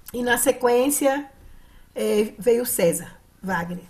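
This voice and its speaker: This woman talks very slowly. Her voice sits at a fairly high pitch. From Brazil, Minas Gerais. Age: 70s. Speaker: psychologist and dance therapy facilitator. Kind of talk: conference talk. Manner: halting, with fillers.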